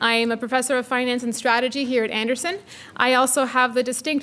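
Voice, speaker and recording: Her pitch is high for a woman. The intonation stays fairly even. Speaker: faculty director hosting event. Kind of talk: formal welcome speech. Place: hall. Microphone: podium.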